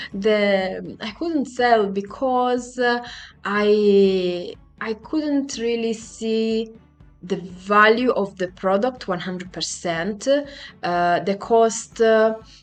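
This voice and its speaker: Over music in the background, a woman speaks at a very slow pace and a fairly high pitch. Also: ordinary pitch variation. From Italy. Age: 40s. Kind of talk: personal vlog talk to camera.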